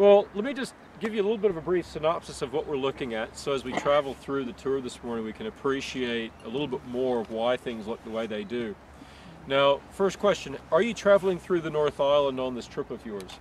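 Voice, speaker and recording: An unremarkable speaking voice belongs to a man who talks at a fairly quick pace with a fairly high pitch and lively intonation. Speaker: tour guide. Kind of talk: guided tour commentary.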